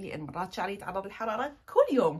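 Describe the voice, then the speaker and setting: A woman speaks at a moderate pace in an animated tone. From Iraq. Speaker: lifestyle vlogger. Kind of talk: casual vlog talk to camera. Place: home room. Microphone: phone near.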